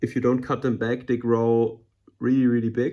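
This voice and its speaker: A man with a German accent and a medium pitch. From Germany. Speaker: aquarium hobbyist YouTuber. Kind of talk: casual tutorial tank tour. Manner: hesitant, many fillers and repetitions.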